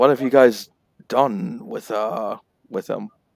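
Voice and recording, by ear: Doing a put-on character voice, a man sounds raspy at a medium pitch, moving fairly slowly with very wide pitch swings.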